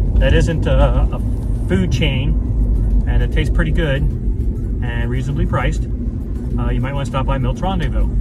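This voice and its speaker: A man talks at a moderate pace. Loud background noise fills the dry, echo-free recording. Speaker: local vlogger reviewing a restaurant. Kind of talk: casual vlog chat. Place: car. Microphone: phone near.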